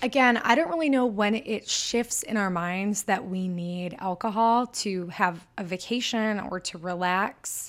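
With a Michigan accent, a woman speaks fairly slowly at a medium pitch, using ordinary pitch variation. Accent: northern US (Michigan). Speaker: sober-living podcaster. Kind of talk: casual solo podcast monologue. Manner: enthusiastic, animated.

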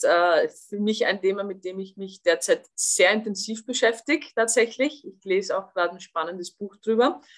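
This woman's tone is bright and sharp, set at a medium pitch. She talks at a moderate pace with ordinary pitch variation. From Austria. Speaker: former national football player and TV pundit. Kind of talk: podcast interview.

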